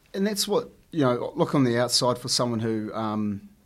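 This man speaks at a fairly quick pace with a New Zealand accent. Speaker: podcast host. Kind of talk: casual interview. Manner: halting, many fillers.

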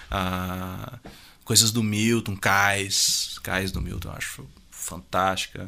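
At a very slow pace, a man speaks in a fairly low pitch with fairly even intonation. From Rio Grande do Sul, Brazil. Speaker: musician and music producer. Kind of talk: casual interview. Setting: radio studio.

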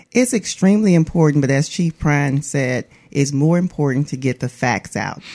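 A woman with an Alabama accent talks at a moderate pace with ordinary pitch variation. Her pitch is very deep and low, and her tone is dark and mellow. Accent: US Southern (Alabama). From Atmore, Alabama. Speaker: police public information officer. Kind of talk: radio interview.

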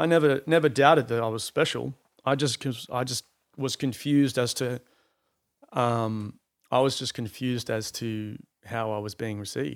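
Recorded very cleanly against a silent background, a man with an unremarkable speaking voice talks at a moderate pace in a medium pitch with ordinary pitch variation. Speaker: painter. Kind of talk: casual chat. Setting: studio.

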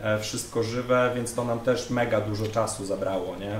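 Moderate pace from a man, amid noticeable background noise and audible room echo. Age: young. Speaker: metal band drummer. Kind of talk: casual interview chat.

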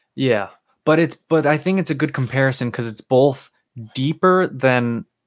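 In a very clean recording with a silent background and a dry, close sound with no echo, a man speaks at a fairly slow pace in a medium pitch with ordinary pitch variation. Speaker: podcast co-host, football fan. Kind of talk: casual sports podcast chat. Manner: casual, talks over others.

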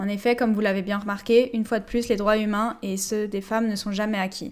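At a fairly quick pace, a woman with fairly high pitch speaks in a monotone, flat intonation. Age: 20s. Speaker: physiotherapist and public health student, podcast host. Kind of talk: scripted solo podcast monologue.

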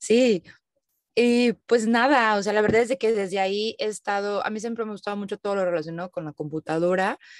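A woman with a Mexican accent talks at a moderate pace with fairly even intonation, in a dry, close sound with no echo. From Mexico. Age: 30s. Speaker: digital nomad, content creator. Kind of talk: interview conversation.

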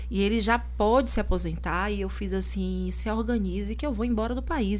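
Amid noticeable background noise and audible room echo, a woman speaks at a moderate pace in a flat monotone with a very deep, low pitch. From Bahia, Brazil. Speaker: lawyer and political activist. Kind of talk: podcast interview.

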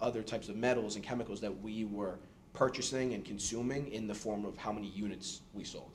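Amid noticeable background noise and audible room echo, a man with a fairly low pitch talks at a fairly quick pace with fairly even intonation. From New York City. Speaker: engineering student. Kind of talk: podcast interview.

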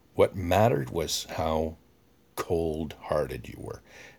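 On a very clean recording with a silent background, a man speaks in a Canadian accent. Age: 50s. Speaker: podcaster. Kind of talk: monologue. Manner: animated.

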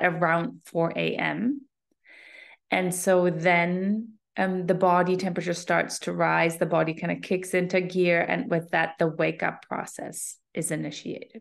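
Against a quiet background, a woman speaks in an ordinary speaking voice, fairly low in pitch, at a fairly slow pace and with fairly even intonation. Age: 40s. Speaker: sleep and health coach. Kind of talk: solo podcast talk.

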